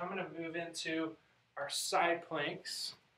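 The speech goes at a very slow pace with audible room echo. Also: man. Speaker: chiropractor. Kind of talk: exercise tutorial. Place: office. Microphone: camera far.

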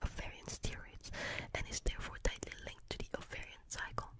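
A woman whispers at a fairly quick pace. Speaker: ASMR-style creator. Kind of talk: soft reading aloud of an article. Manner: soft close-mic ASMR reading, character role. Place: home room. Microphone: studio mic.

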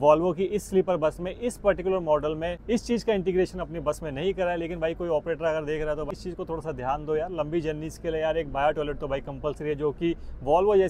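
A man talks at a very fast pace with hardly any pauses. The sound is dry with no echo, and there is light background noise. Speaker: travel vlogger. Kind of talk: casual vlog chat. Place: bus. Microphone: phone near.

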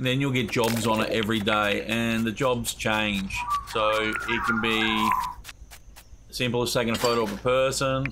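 A man with an Australian accent talks at medium pitch and a moderate pace. His intonation is fairly even, and there is noticeable background noise. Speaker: gaming YouTuber. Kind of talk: let's play commentary. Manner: casual, chatty.

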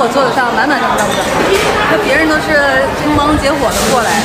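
With crowd noise behind her, a woman speaks at a fairly quick pace. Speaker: food vlogger. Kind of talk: casual vlog chat. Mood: cheerful, laughing often. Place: cafe. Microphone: phone near.

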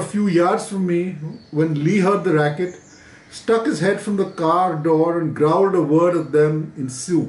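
In a room with audible echo, a man with a high pitch speaks at a fairly slow pace. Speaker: writer reading a favorite book passage. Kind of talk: literary audiobook reading, read aloud from a book. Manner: measured, storytelling pace, clear and conversational; casual, friendly, slightly hesitant with fillers in intro. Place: home room.

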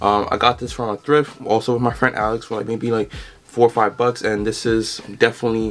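A man speaks with an American accent at a medium pitch. There is light background noise. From New York City, the Bronx. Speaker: fashion content creator. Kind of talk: casual vlog monologue. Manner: frequent fillers, loose and rambling delivery. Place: home room. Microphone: camera far.

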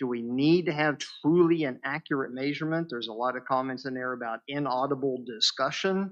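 A man with a West Virginia accent, fairly high pitch and ordinary pitch variation, against a quiet background. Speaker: planning commission member. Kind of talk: public meeting remarks. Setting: board room meeting.

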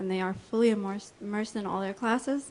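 Fairly even intonation in a woman's medium-pitched speech. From USA, Spanish-speaking family. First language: Spanish. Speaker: educator, public commenter. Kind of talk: public comment at school board meeting. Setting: public meeting in a school.

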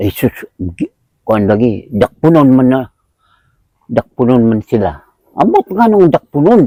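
A man speaks in a dark, mellow tone at a fairly slow pace, with very wide pitch swings and long, frequent pauses. The sound is dry and close, with no echo. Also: medium pitch for a man. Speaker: house owner. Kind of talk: casual interview.

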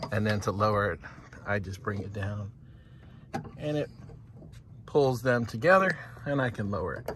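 Over noticeable background noise, a man with a fairly low pitch speaks at a moderate pace, with ordinary pitch variation and long, frequent pauses. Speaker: YouTube vlogger. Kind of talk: tutorial. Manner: casual, explanatory.

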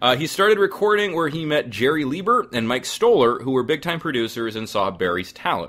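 A man talks at a fairly quick pace with hardly any pauses and some vocal fry. His fairly high pitch swings very widely. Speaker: podcast host. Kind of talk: casual interview chat.

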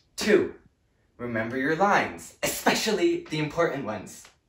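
A man talks at a fairly slow pace, with audible room echo and light background noise. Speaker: actor playing a show director. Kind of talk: scripted comedic monologue. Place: home room. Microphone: camera far.

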